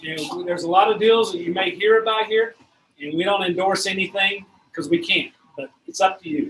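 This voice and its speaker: A man with a high pitch and ordinary pitch variation talks at a fairly quick pace. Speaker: real estate investor group meeting host. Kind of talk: meeting announcements to a live audience. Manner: fast.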